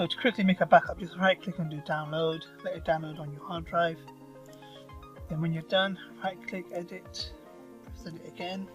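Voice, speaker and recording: Mumbling at a moderate pace, long and frequent pauses, music in the background. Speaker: WordPress tutorial maker. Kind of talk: screen-recorded software tutorial.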